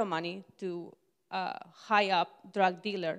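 Against a quiet background, a woman talks. Her intonation is monotone and flat. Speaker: church member sharing testimony; speaker. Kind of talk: testimony. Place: church. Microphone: handheld.

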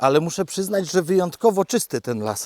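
With an unremarkable speaking voice, a man talks at a moderate pace. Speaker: vlogger walking his dog and keeping farm animals. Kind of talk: casual monologue while walking. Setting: outdoors, forest walk with dog. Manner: chatty, relaxed, self-deprecating.

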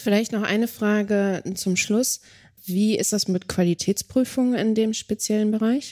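A woman speaks at a fairly slow pace with a dark, mellow tone and fairly high pitch. Her loudness stays very even, and the recording is very clean with a silent background. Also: fairly even intonation. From Lower Saxony, Germany. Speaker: podcast co-host. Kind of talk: podcast interview. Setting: on location at a nursing service.

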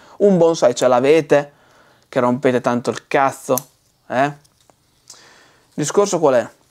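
A man's fairly high voice with ordinary pitch variation, big swings in loudness, a fairly slow pace and long, frequent pauses. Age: 40s. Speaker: bonsai seller. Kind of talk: casual vlog rant. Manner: animated. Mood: exasperated, mocking rant. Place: studio. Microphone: lapel.

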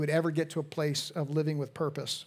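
At a moderate pace, a man talks in a flat, monotone intonation. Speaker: pastor. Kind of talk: sermon. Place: church. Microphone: headset.

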